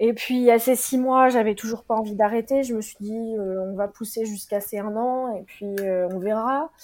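A woman with an unremarkable speaking voice and fairly high pitch talks at a moderate pace, her intonation fairly even but her loudness swinging widely. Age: 30s. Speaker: midwife. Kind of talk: interview testimony.

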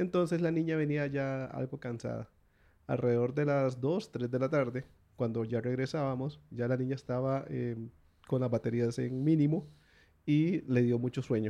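Man with a Costa Rican accent, medium pitch, dark and mellow tone and a moderate pace. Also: ordinary pitch variation. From Costa Rica, Guanacaste. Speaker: visiting relative interviewed about his country. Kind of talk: casual interview.

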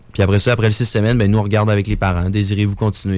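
At a very fast pace, a man with a fairly low pitch speaks in a monotone, flat intonation. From Quebec City. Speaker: entrepreneur running youth gaming coaching programs. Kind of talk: interview.

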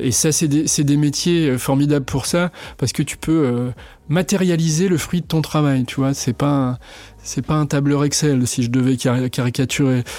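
A man with a dark, mellow tone speaks at a fairly slow pace with fairly even intonation. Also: fairly high pitch for a man. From western France (Vendée). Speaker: director of a culinary trades school. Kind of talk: interview. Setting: studio, face to face.

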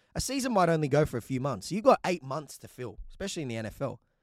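In an Australian accent, a man speaks very fast with an animated tone, on a very clean recording with a silent background and a dry, close sound with no echo. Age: 20s. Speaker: sports podcast host. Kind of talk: solo podcast commentary.

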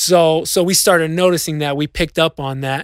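An ordinary speaking voice from a man, with fairly even intonation and a moderate pace, on a very clean recording with a silent background. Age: 30s. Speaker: DJ and podcast co-host. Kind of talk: casual chat.

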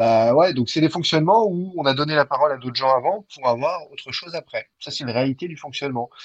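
Speaking very fast with hardly any pauses, a man with a fairly high pitch comes through in a dry, close recording with no echo. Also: ordinary pitch variation, big swings in loudness. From France, of Armenian descent. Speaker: sports journalist. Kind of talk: interview.

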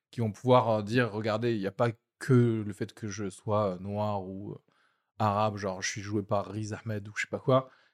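The recording is very clean with a silent background. A man speaks fairly slowly at a fairly low pitch in a monotone, flat intonation. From outside France, moved to France as a child. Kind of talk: casual chat.

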